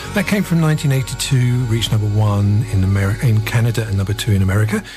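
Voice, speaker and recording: A man talks at a moderate speed, his voice somewhat breathy and his pitch varying in an ordinary way. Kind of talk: radio DJ patter, show-intro and station ident links. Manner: easygoing, casual, slightly hesitant with 'uh' fillers.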